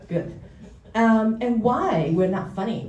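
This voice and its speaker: Audible room echo surrounds a woman's voice. She talks at a fairly slow pace with ordinary pitch variation. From Taiwan. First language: Mandarin or Taiwanese. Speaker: therapist. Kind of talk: public talk. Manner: halting.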